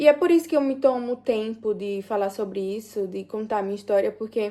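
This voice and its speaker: A woman's fairly high voice has a dark, mellow tone in a very clean recording with a silent background. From Brazil, Sergipe (Aracaju). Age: 20s. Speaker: vlogger telling life story. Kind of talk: personal testimony, casual vlog. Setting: at home, doing nails and makeup. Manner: halting, many fillers.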